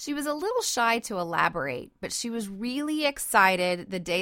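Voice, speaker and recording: A woman speaks at a moderate pace with an animated, bright, sharp tone on a very clean recording with a silent background. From South Louisiana, Cajun. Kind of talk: Bible teaching podcast monologue.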